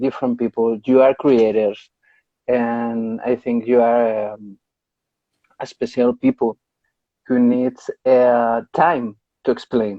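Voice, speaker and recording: Speaking very slowly in a flat monotone, a man with a medium-pitched voice and a Spanish accent leaves long, frequent pauses. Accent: Spanish accent, non-native English. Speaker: podcast host. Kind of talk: casual interview. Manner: halting, searching for words.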